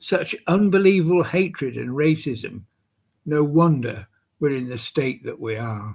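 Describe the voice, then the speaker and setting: Against a quiet background, a man with a Welsh accent speaks at a moderate pace in a somewhat breathy voice with ordinary pitch variation. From Wales. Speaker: poet. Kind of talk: poetry reading.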